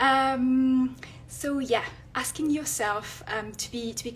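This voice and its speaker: A woman's fairly high voice in a French accent. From France. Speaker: illustrator and content creator. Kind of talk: live stream talk. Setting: Instagram live. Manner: hesitant, many fillers.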